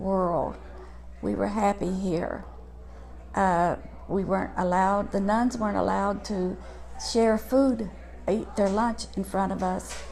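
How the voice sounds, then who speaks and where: A woman with an American accent at a fairly slow pace, with audible room echo. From US, Huntington, West Virginia. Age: 80s+. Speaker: church member. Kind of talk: testimony. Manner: halting.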